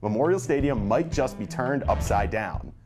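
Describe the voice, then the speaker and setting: Over music in the background, a man with a medium pitch speaks in an upbeat tone, his pitch swinging very widely. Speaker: sports broadcaster. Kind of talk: TV hosting, sports betting segment.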